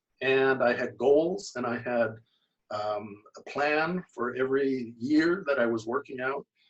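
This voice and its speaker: With a Canadian accent, a man speaks fairly slowly in a normal speaking voice, medium in pitch with ordinary pitch variation. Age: 60s. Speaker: amateur bodybuilder, lawyer. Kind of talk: casual interview.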